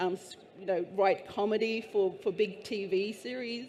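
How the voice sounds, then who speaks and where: Her tone is dark and mellow, at a medium pitch for a woman. She keeps a moderate pace in a monotone, flat intonation. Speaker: panelist, mining industry advocate. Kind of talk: panel discussion. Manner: halting.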